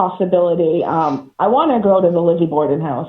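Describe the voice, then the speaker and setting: A woman with an American accent talks at a moderate pace in a medium-pitched voice. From Massachusetts, Haverhill. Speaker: paranormal investigator. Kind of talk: casual interview chat.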